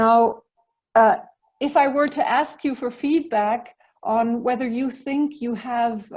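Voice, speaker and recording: Fairly high, somewhat breathy voice of a woman. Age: 50s. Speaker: leadership mentor. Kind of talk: online talk.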